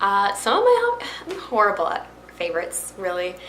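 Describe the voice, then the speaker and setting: With a Florida accent, a woman talks at a moderate pace with lively intonation and an animated tone. Audible room echo and noticeable background noise surround her voice. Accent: American, Florida. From Florida (Miami and Brooksville near Tampa). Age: young. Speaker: YouTuber and fashion reseller. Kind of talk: casual talk to camera. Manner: chatty, animated.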